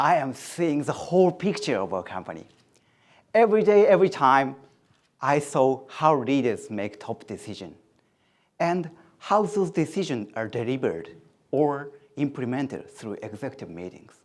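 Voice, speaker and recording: A man's fairly high voice with very wide pitch swings, vocal fry, a moderate pace, long and frequent pauses, and big swings in loudness, on a very clean recording with a silent background. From Japan. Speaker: graduate student. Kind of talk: prepared speech.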